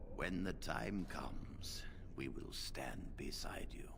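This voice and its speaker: A man's whispered, put-on character voice at a fairly slow pace over loud background noise. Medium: machinima. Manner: measured, dignified.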